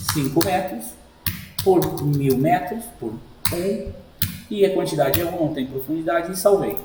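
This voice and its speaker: A man with a high pitch and lively intonation speaks fairly slowly, with long, frequent pauses. Room echo is audible and background noise is noticeable. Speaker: sign shop owner giving software tutorial. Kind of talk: screen-recorded tutorial. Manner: casual, informal.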